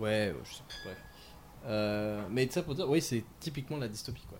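The man's voice sits fairly low in pitch and shows ordinary pitch variation. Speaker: podcast host. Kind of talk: casual chat.

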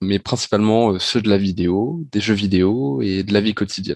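A man with a normal speaking voice talks at a fairly low pitch and moderate pace with ordinary pitch variation, in a dry, close sound with no echo. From Normandy, France (Rouen). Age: 20s. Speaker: business school student, augmented reality enthusiast. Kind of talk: podcast interview.

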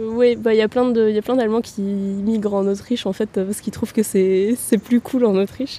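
A woman speaks with a fairly high pitch at a moderate pace, with hardly any pauses. Her intonation is monotone and flat. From Austria, Vienna. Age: 20s. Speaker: master's student. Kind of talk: interview. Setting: outdoors by the river. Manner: hesitant, many fillers.

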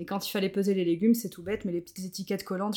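The woman's pitch is medium. Her intonation is monotone and flat. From Brittany, France (Morbihan, near Carnac). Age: 30s. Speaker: zero-waste practitioner. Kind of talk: casual interview.

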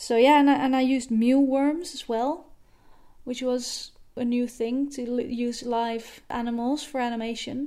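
With a Dutch accent, a woman speaks at a high pitch with a dark, mellow tone and fairly even intonation. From Netherlands. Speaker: animation director. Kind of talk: voice message monologue. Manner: hesitant with fillers.

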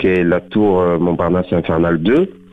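A man at a fairly slow pace. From southern France, Beaucaire. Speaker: actor. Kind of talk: radio interview. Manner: halting, many fillers.

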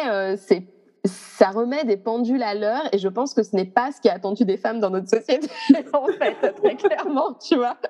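A woman speaks with lively intonation. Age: 30s. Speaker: astrologer. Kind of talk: interview conversation. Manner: hesitant, many fillers.

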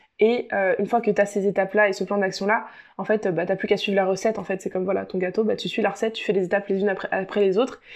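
A woman's very fast, monotone delivery with flat intonation over a quiet background. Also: medium pitch for a woman. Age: 20s. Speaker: podcast host and life coach. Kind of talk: solo podcast monologue. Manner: hesitant with many fillers.

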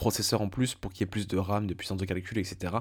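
An unremarkable speaking voice at a fairly quick pace, on a very clean recording with a silent background. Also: man. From France. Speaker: video game podcaster. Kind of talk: solo monologue. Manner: casual, informal.

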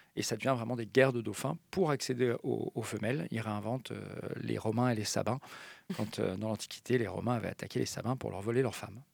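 The recording is very clean, with a silent background. A man with vocal fry talks at a medium pitch and moderate pace, with ordinary pitch variation. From French mountain region. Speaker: marine mammal scientist at an animal park. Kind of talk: radio interview. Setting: studio. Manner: halting.

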